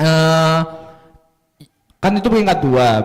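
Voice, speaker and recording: Ordinary pitch variation from a man, moderate in pace. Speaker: MUN coach, event emcee. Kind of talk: event emcee talk to audience.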